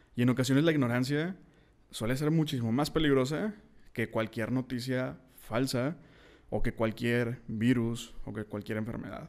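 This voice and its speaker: A man with a normal speaking voice talks at medium pitch and a moderate pace with ordinary pitch variation, on a very clean recording with a silent background. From Mexico, Monterrey. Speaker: podcast host, writer. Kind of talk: solo podcast monologue.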